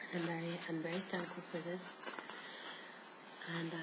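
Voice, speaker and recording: A soft-spoken woman's fairly low voice amid noticeable background noise. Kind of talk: soft-spoken ASMR reading from a book. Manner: soft-spoken, relaxing.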